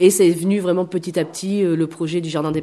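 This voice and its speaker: Against a quiet background, a woman talks at a fairly quick pace with a dark, mellow tone, fairly low pitch and fairly even intonation. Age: 30s. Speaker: temp postal worker and community space founder. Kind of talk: interview. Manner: hesitant.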